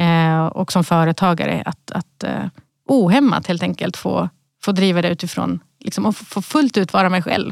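The sound is dry and close with no echo as a woman talks at a moderate pace. Her fairly low pitch carries vocal fry and ordinary pitch variation. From Sweden, Malmö (Rosengård). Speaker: company CEO. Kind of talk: podcast interview. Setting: podcast studio.

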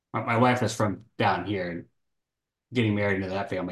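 Fairly low in pitch, a man with an unremarkable speaking voice talks at a fairly quick pace with an American accent. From Texas. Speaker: loan officer and podcast co-host. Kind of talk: casual chat.

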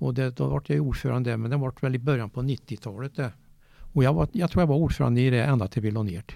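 Using lively intonation, a man speaks at a very fast pace and medium pitch. His tone is dark and mellow. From Värmland, Sweden (Eda, Åmotfors). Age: 70s. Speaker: golf club chairman, former police officer. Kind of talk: interview. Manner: halting.

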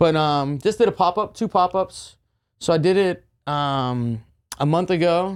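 A man speaks with an American accent at a high pitch and a fairly slow pace, with ordinary pitch variation on a very clean recording over a silent background. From western Pennsylvania, near Pittsburgh. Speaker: barbecue festival organizer and pitmaster. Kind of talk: casual chat. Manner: animated.

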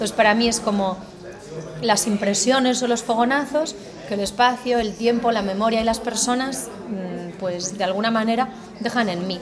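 Over noticeable background noise, a woman with a Galician accent talks at a moderate pace in a fairly high voice, her intonation fairly even and her pauses long and frequent. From Spain, Galicia. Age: 40s. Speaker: political communication academic. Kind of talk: interview.

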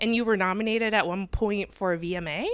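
An ordinary speaking voice, a woman of medium pitch talks at a moderate pace with an American accent. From Michigan. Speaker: podcast host. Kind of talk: casual interview; scripted intro and outro. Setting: home kitchen, handheld mic.

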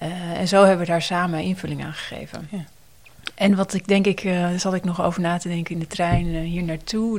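A woman's fairly low voice in a monotone, flat delivery. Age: 40s. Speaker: nurse educator and researcher. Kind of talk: interview about personal experience.

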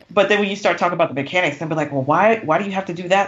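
There is noticeable background noise. A woman with a fairly low pitch speaks with lively intonation. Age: 40s. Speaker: romance author. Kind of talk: casual chat. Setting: recording in person.

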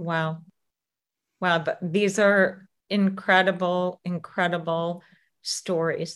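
A woman at medium pitch, very slow and monotone with flat intonation, broken by long, frequent pauses. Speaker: podcast host and legacy coach. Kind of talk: interview, intro.

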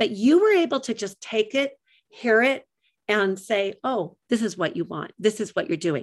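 Over a quiet background, a woman speaks at a fairly high pitch. Her pace is moderate and her intonation lively. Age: 60s. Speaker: radio host and life coach. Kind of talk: interview. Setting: studio. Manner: animated.

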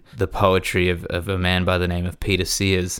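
In an Australian accent, a man talks with a very deep, low pitch. The pace is moderate, and the recording is very clean with a silent background. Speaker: podcast host and musician. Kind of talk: casual conversation. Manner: relaxed, chatty.

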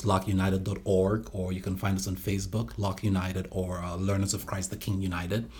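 A man's very deep, low voice at a fairly quick pace, with fairly even intonation. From Nigeria (Calabar, southern Nigeria). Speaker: ministry leader. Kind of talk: testimony.

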